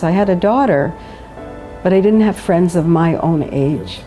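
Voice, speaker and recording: With music in the background, a woman speaks at a moderate pace with a Canadian accent. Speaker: widow. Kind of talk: interview answer.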